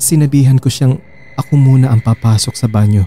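A man speaks at a fairly quick pace in a medium-pitched, dark and mellow voice that is somewhat breathy. His pitch varies in an ordinary way, and the sound is dry and close with no echo. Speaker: horror story narrator. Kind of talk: horror story narration, first-person scripted storytelling.

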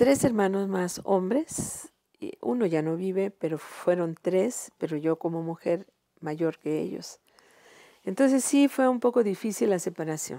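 A woman with a medium pitch and a dark, mellow tone speaks at a fairly slow pace with lively intonation, her voice dry with no echo against a quiet background. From Mexico, Guerrero (San Jerónimo); Guerrero, Mexico. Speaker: retired teacher and singer; retired teacher. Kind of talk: interview. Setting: her home. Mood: calm, reflective. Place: home room. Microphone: lapel.

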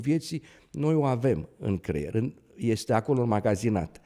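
A man with a dark, mellow tone speaks at a moderate pace, his pitch swinging very widely against a quiet background. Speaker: neurosurgeon; guest. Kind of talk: interview. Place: studio. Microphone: studio mic.

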